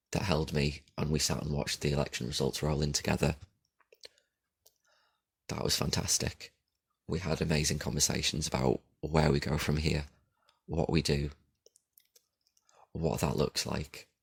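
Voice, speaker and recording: At a moderate pace with long, frequent pauses, a man with a very deep, low pitch speaks in a monotone, flat intonation with vocal fry. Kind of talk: casual podcast talk. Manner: rambling, informal.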